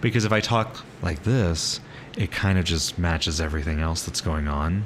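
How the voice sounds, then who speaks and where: At a moderate pace, a man speaks at a very deep, low pitch with ordinary pitch variation over noticeable background noise. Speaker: vtuber streamer. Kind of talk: casual chat. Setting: live stream with voice chat. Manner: speaks in normal lower voice instead of usual higher one.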